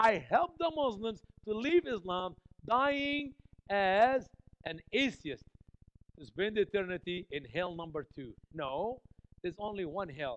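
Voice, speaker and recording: With an Egyptian accent, a high-pitched man talks at a fairly slow pace in an animated tone, with very wide pitch swings, big swings in loudness, and long, frequent pauses. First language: Arabic. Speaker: visiting preacher and missionary to Muslims. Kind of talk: sermon. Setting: church.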